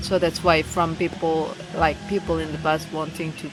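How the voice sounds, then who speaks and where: Music plays behind a woman with an Indonesian accent. She speaks at a moderate pace in a very deep, low pitch. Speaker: English learner vlogger. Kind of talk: casual monologue. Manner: halting, many fillers.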